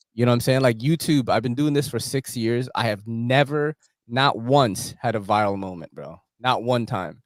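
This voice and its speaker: A voice with an American accent speaks at a moderate pace. Its pitch varies in an ordinary way. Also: man, medium pitch for a man. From New York City. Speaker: knife content creator, YouTuber. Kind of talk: casual chat.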